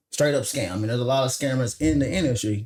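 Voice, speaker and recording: A man's medium-pitched voice with a Mississippi accent. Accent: Mississippi Southern. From Mississippi, US South. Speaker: software engineer and credit consultant. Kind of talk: podcast interview.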